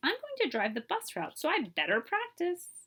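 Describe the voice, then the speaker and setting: A woman uses a put-on character voice at an extremely high pitch. Her tone is cheerful and her pace is moderate. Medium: read story. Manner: cheerful, eager.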